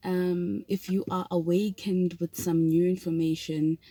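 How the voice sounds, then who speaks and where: In a South African accent, a woman speaks with fairly low pitch and a dark, mellow tone. The sound is dry and close, with no echo. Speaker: vlogger. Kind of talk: casual vlog talk. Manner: hesitant, many fillers.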